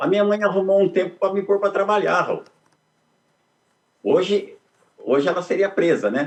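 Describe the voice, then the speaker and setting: A man's high-pitched voice at a moderate pace, with very even loudness, fairly even intonation and long, frequent pauses. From Brazil, interior of São Paulo state (Dois Córregos). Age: 70s. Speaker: economist and poet, interviewee. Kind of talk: interview, life story.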